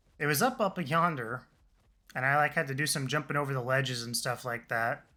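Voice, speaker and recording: Fairly high-pitched and bright, sharp in tone, a man talks at a fairly quick pace with ordinary pitch variation on a very clean recording with a silent background. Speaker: video game streamer. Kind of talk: live gameplay stream commentary.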